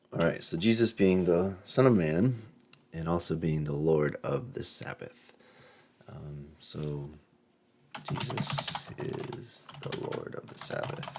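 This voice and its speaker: A man's very deep, low voice at a very slow pace, with very wide pitch swings, big swings in loudness and noticeable background noise. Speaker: Bible study teacher. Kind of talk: Bible study. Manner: casual, with fillers.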